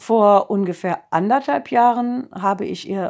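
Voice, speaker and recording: Over a quiet background, a woman with a medium-pitched voice speaks at a very slow pace. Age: 50s. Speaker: kindergarten teacher giving a testimonial. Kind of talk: testimony. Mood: calm, earnest. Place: home room. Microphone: phone near.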